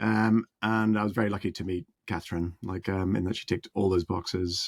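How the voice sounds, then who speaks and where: This man has a Northern Irish accent and a very deep, low pitch with fairly even intonation. The recording is very clean with a silent background, and the sound is dry and close with no echo. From Northern Ireland. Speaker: musician and music producer. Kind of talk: interview. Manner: halting, many fillers.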